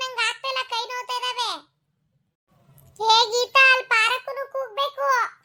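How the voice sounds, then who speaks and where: Using a cartoonish character voice, a woman squeaks at an extremely high pitch, fairly slowly and in a monotone, flat intonation. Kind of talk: cartoon voice acting.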